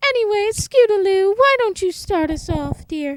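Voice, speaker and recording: This is a put-on character voice, squeaky and extremely high. It moves at a moderate pace. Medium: audio drama. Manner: teasing.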